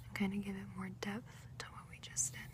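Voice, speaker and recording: A soft-spoken woman whispers at a moderate pace. Noticeable background noise runs underneath. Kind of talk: ASMR role play. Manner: soft-spoken, whispered.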